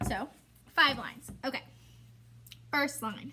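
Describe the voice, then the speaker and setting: A woman speaks in a raised, projected voice. Her pitch sits high. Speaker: elementary school teacher. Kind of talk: tutorial. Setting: recorded video lesson alone.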